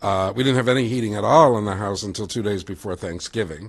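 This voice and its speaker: A man with a fairly low pitch talks at a fairly quick pace in a plain, everyday voice. His pitch variation is ordinary, and the background is quiet. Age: 60s. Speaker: resident giving public comment. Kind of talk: public comment at meeting. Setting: public board meeting.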